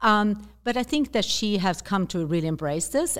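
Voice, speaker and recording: With a Swedish accent, a woman talks at a fairly quick pace with lively intonation, recorded very cleanly against a silent background. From Sweden. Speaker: zero-waste activist and author. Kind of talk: interview conversation. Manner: halting, hesitant with fillers.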